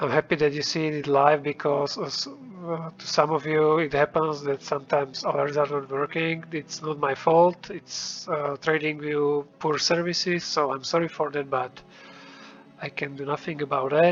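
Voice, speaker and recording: A man with a non-native accent, flat monotone delivery at a moderate pace, and noticeable background noise. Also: fairly high pitch for a man. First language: not English. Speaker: trading indicator developer. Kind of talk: tutorial. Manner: hesitant, many fillers.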